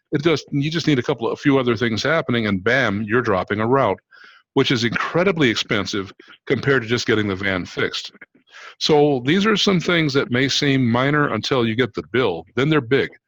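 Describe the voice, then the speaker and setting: A man speaks at a medium pitch in a normal speaking voice. His pace is fairly quick and his intonation lively. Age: 60s. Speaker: fleet maintenance business owner. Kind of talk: video call panel discussion.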